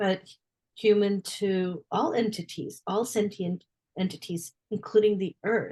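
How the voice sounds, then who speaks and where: A woman's somewhat breathy, dark, mellow voice at a medium pitch with ordinary variation, fairly slow in pace, dry and close with no echo. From India. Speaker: podcast host. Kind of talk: podcast interview.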